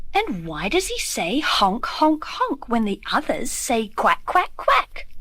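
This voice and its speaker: A woman uses a put-on character voice, high-pitched and fairly slow, over light background noise. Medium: read story.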